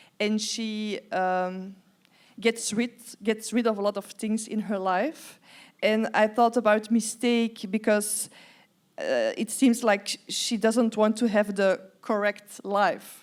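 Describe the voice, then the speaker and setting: Speaking very slowly, a woman uses a monotone, flat intonation. Her fairly high voice carries a Dutch accent. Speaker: interviewer, writer. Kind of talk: live stage conversation. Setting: stage with audience. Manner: halting.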